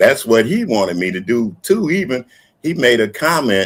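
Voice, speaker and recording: His pitch moves in very wide swings. The man's delivery is fairly slow. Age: 70s. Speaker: YouTube commentator. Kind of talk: casual chat.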